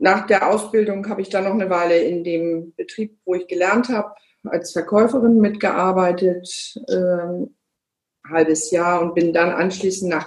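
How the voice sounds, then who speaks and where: At a fairly slow pace, a woman talks in a normal speaking voice, her pitch medium and its variation ordinary. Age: 50s. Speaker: car dealership managing director. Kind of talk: interview. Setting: video call.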